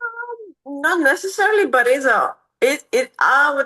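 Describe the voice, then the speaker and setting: Lively intonation and a bright, sharp tone mark this woman's speech, delivered with a non-native accent. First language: not English. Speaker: MMA fighter. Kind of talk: interview. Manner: halting.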